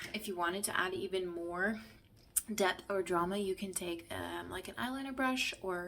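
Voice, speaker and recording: This woman has a plain, everyday voice pitched in the medium range. She keeps a moderate pace, and her intonation stays fairly even. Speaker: makeup tutorial creator, beauty consultant. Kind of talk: tutorial. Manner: casual, chatty.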